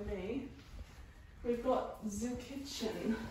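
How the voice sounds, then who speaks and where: Noticeable background noise and audible room echo surround a woman speaking at a high pitch. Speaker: new homeowner vlogger. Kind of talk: casual vlog chat. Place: empty room. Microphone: camera far.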